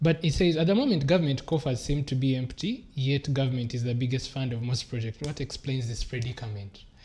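Somewhat breathy and dark, mellow in tone, a man talks at a fairly quick pace with hardly any pauses. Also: ordinary pitch variation. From Uganda. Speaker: TV host. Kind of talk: TV studio discussion. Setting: TV studio. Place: studio. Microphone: lapel.

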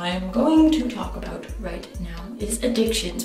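Faint music plays in the background as a woman speaks with audible room echo. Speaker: vlogger. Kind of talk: casual vlog chat. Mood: opinionated, exasperated. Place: bathroom. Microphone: webcam.

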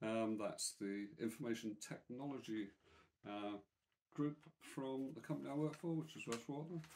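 A man talks with ordinary pitch variation. Light background noise sits behind him. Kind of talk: casual vlog chat. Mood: pleased, warm. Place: home room. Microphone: phone near.

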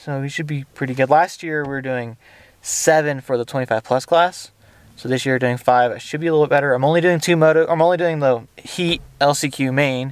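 In a dry recording with no echo, a man with an ordinary speaking voice talks at a moderate pace, his pitch fairly high and his intonation fairly even. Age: 30s. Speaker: motocross racer and vlogger; vlogger. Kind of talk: vlog. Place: car. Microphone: phone near.

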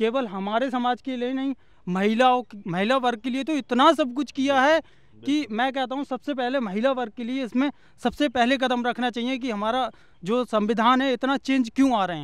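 An extremely high-pitched male voice at a fairly slow pace, with fairly even intonation, a dry sound with no echo and a quiet background. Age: 20s. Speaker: village resident, teacher trainee; teacher trainee. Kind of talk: street interview. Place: open country. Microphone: handheld.

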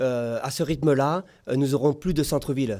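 A man's dark, mellow tone against a quiet background. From Réunion. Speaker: mayoral candidate; candidate. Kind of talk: political debate; political debate answer. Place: studio. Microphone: studio mic.

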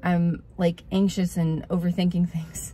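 A woman's fairly low, dark, mellow voice, somewhat breathy, at a moderate pace, with a dry sound and no echo. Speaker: small video creator. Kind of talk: casual vlog chat. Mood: reflective, a bit anxious. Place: car. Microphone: phone near.

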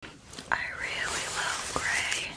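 A woman speaks in a whisper. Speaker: ASMR artist. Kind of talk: ASMR product review. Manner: whispered. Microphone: studio mic.

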